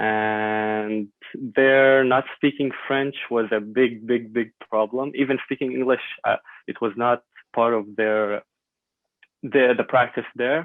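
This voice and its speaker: A man with an Arabic accent at a very slow pace, medium in pitch and fairly even in intonation. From Syria. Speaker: medical student, refugee. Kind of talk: podcast interview. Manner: hesitant with many fillers.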